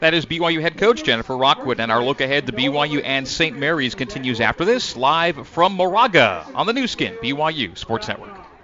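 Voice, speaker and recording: A man's fairly high-pitched voice with very wide pitch swings and hardly any pauses over noticeable background noise. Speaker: play-by-play sports announcer. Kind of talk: radio play-by-play sports broadcast. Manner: polished, upbeat and energetic, with quick stats.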